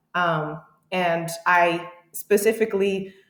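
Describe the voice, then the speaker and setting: Fairly low in pitch and fairly even in intonation, a woman talks in an ordinary speaking voice. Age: 30s. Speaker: powerlifting coach. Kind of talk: interview.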